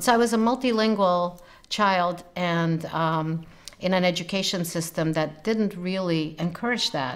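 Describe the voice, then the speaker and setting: A woman's fairly low voice moves at a fairly slow pace, its pitch varying in an ordinary way. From Romania and Austria, then US from early teens. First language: German. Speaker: literature professor. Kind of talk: interview, personal narrative.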